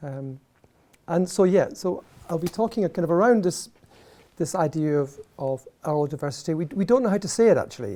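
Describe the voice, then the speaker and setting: Fairly quick speech from a man with an Edinburgh accent, fairly high-pitched, with a dark, mellow tone. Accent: Scottish (Edinburgh). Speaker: professor. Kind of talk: lecture. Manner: animated, passionate; halting, many fillers and restarts.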